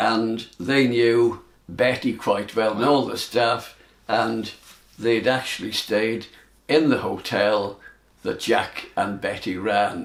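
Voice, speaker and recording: At a very slow pace, a man speaks in a medium pitch with fairly even intonation. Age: 80s+. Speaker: club golfer. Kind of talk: reminiscing talk on club history. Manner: casual, conversational.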